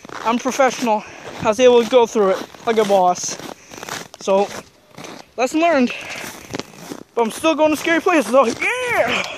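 Moderate pace, dry sound with no echo, and noticeable background noise. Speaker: vlogger. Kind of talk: casual vlog chat. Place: open country. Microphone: phone near.

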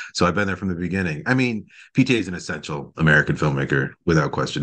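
A man with a very deep, low pitch speaks at a very fast pace over a quiet background. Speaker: film critic and editor. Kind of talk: casual chat.

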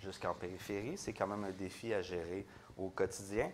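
With a Quebec accent, a man speaks in a fairly low pitch. His pitch varies in an ordinary way over light background noise. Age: 30s. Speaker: mayor and debate moderator. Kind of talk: moderated political debate. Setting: stage with audience. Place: hall. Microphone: lapel.

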